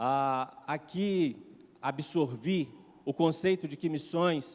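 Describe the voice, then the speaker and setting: His intonation is lively. The man's pitch is fairly high. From Brazil, Minas Gerais. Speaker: pastor. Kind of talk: sermon. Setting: church.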